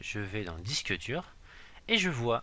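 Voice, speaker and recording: Medium pitch from a man, with a bright, sharp tone. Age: 30s. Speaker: IT trainer. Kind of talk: tutorial. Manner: hesitant, many fillers.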